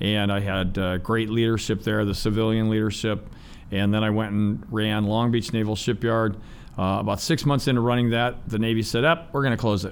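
In an American accent, a man with an unremarkable speaking voice talks at a moderate pace, fairly low in pitch, with fairly even intonation and very even loudness. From Ohio, US. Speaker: business owner and navy veteran. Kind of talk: interview. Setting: studio.

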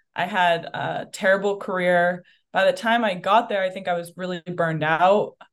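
A woman at a medium pitch and moderate pace with fairly even intonation, in a very clean recording with a silent background. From New Hampshire, US. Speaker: mental performance coach. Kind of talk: casual interview.

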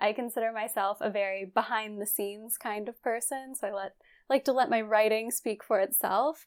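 A woman with an American accent and an ordinary speaking voice talks at a moderate pace with a fairly high pitch and fairly even intonation, in a very clean recording with a silent background. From West Virginia. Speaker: astronomy communications specialist. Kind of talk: interview.

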